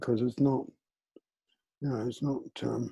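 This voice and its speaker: This man's voice has a dark, mellow tone and vocal fry. His pitch sits fairly high. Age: 80s+. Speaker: group discussion participant. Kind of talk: casual group sharing. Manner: halting.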